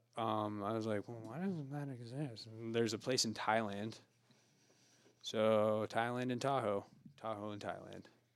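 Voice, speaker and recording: A man speaks with a West Coast accent at a moderate pace. His pitch is medium and his intonation fairly even. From rural Oregon. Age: 30s. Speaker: sober living house founder. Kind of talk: casual chat.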